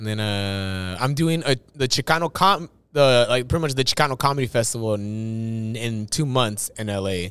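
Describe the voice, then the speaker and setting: On a very clean recording with a silent background, a man of medium pitch talks at a moderate pace with ordinary pitch variation and hardly any pauses. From US West Coast, East Los Angeles. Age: 30s. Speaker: stand-up comedian. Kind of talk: casual chat. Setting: studio.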